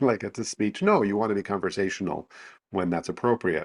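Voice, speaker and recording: Against a quiet background, a man speaks fairly quickly in an ordinary speaking voice. His pitch is fairly low and his intonation fairly even. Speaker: vocal presence coach. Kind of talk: interview answer.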